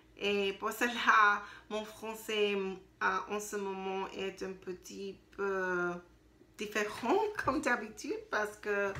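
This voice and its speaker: With audible room echo, a woman speaks at a very slow pace and medium pitch, her tone bright and sharp and her intonation fairly even. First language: not French (learner) (speaking French). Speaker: language learner video diarist. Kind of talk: spoken practice diary. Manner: halting, many hesitations.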